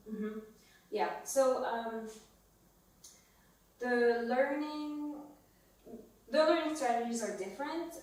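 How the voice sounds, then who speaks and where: Amid audible room echo, a woman with a high pitch speaks at a very slow pace with long, frequent pauses and ordinary pitch variation. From France. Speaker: podcast co-host. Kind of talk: casual chat.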